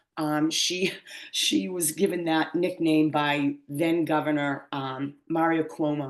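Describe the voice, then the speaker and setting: The voice has an American accent and fairly even intonation. The background is quiet. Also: woman. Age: 60s. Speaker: poet. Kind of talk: poetry reading with commentary. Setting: video call.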